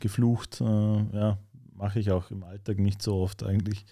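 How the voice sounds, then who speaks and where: With a Vorarlberg accent, a man speaks in a dark, mellow tone at a fairly slow pace over a quiet background. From Austria, Vorarlberg. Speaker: rapper; guest. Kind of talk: casual interview chat. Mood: relaxed, conversational. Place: studio. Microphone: studio mic.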